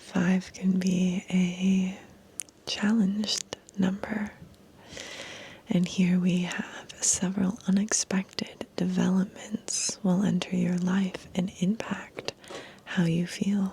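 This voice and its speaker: Soft-spoken whispering at a very slow pace, with noticeable background noise. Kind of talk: ASMR numerology reading / guided meditation. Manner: soft, whispered.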